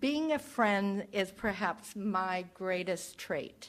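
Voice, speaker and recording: Her intonation is lively. This woman speaks very slowly with an American accent. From Texas, then California Bay Area from age 9. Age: 70s. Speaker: spiritual practitioner giving a talk. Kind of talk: church talk to congregation.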